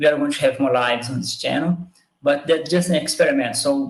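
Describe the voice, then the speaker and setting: With a Portuguese accent, a man talks using fairly even intonation. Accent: own accent, Portuguese-speaking. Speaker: biomathematics educator. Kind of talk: live stream talk. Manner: halting.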